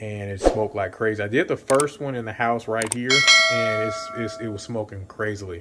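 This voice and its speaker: There is noticeable background noise as a man speaks with fairly low pitch. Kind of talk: casual cooking tutorial. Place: kitchen.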